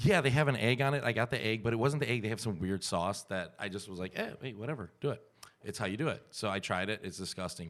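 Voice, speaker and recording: A man's medium-pitched, mumbling voice, animated in tone and lively in intonation, at a very fast pace on a very clean recording with a silent background. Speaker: comedian and podcast host. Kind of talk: casual chat. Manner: mumbles.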